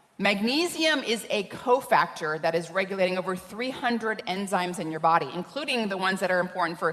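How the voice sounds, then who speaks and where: Amid noticeable background noise, a woman speaks at medium pitch. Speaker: scientist speaking on nutrition. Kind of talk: conference talk.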